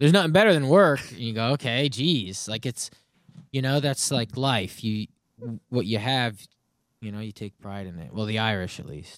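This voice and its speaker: A man with an ordinary speaking voice at a medium pitch talks at a moderate pace, with lively intonation and big swings in loudness. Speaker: comedian. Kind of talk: casual chat.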